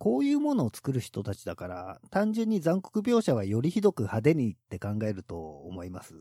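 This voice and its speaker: On a very clean recording with a silent background and a dry, close sound with no echo, a man speaks at a moderate pace with hardly any pauses and big swings in loudness. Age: 40s. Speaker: horror film podcast host. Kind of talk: casual chat.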